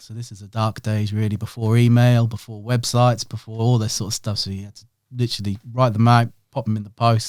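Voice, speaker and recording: A man with a Norfolk accent speaks at a moderate pace with medium pitch and monotone, flat intonation. The recording is very clean, with a silent background. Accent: Norfolk twang. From Norwich, Norfolk, England. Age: 30s. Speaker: print and design business owner. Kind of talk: podcast interview.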